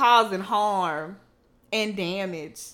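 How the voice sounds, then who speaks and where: Her voice sits at a medium pitch and shows ordinary pitch variation. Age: 20s. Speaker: podcast host. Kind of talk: casual chat.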